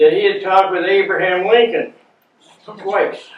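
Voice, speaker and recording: A man with an American accent talks at a high pitch and a moderate pace. His pitch varies an ordinary amount. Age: 80s+. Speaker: war veteran. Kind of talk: talk reading from notes.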